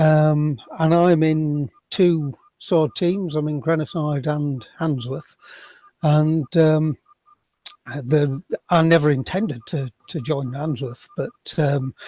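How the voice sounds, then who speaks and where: A man with a Sheffield accent speaks very slowly at a fairly high pitch, in a dark, mellow tone. The pitch varies in an ordinary way, and the sound is dry and close with no echo. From Sheffield, northern England. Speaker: workshop participant, sword dancer. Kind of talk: audience question. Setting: video call. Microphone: cheap headset, no video.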